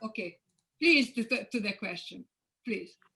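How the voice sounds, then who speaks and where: Bright, sharp tone in a raised, projected voice. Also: woman. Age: 70s. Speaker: physician. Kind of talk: Q&A session. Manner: halting.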